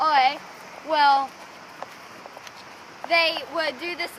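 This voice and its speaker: A woman with a Southern US accent and an extremely high pitch, over noticeable background noise. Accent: American country. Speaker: horse rider. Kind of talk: casual educational presentation to camera.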